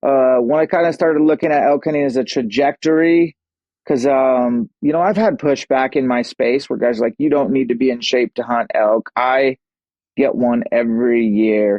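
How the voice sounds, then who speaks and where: With an American accent, a man with an unremarkable speaking voice talks at medium pitch and a moderate pace, with ordinary pitch variation and very even loudness. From Washington State. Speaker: bowhunter and fitness coach. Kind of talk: podcast interview. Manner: casual.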